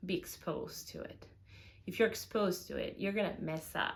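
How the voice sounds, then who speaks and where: A somewhat breathy woman speaks at a moderate pace with ordinary pitch variation. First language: Spanish. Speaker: vlogger. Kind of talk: casual advice talk. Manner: hesitant with many fillers.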